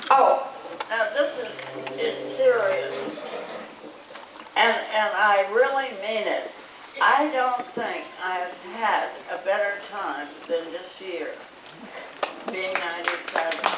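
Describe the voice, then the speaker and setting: At a very slow pace full of long, frequent pauses, a woman speaks in a fairly high voice amid audible room echo and noticeable background noise. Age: 80s+. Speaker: elderly island resident speaking at an event. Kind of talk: speech to a gathering. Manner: halting.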